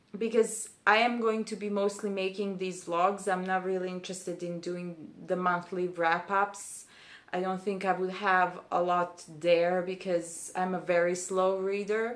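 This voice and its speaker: With a Serbian accent, a woman speaks at a medium pitch in a monotone, flat intonation and a fairly slow pace. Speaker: booktuber, PhD student. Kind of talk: casual vlog monologue. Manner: hesitant, many fillers.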